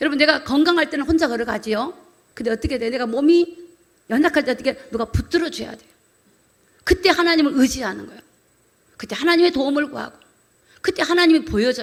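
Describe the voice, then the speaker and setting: Talking very fast in a high, animated voice with ordinary pitch variation, a woman swings widely in loudness and leaves long, frequent pauses. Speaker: pastor. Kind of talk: sermon. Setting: church.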